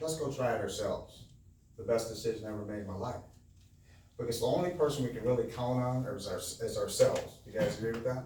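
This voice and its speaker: A man with an American accent talks at a fairly quick pace. There is audible room echo. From Milwaukee, Wisconsin, US Midwest. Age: 60s. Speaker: business owner and motivational speaker. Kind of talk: motivational talk to a live audience. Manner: conversational, engages audience with questions.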